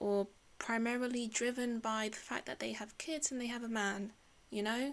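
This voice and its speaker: A woman with a fairly high pitch has a normal speaking voice. She keeps a moderate pace and fairly even intonation. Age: 30s. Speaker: podcast host. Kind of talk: solo podcast monologue. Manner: casual, conversational.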